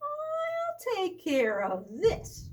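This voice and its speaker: An extremely high, squeaky put-on character voice. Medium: read story.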